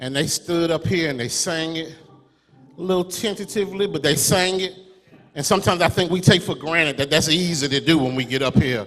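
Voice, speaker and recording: Pitched high for a man, this voice moves at a fairly quick pace. Noticeable background noise sits behind him. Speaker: preacher. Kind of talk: sermon delivered to a congregation.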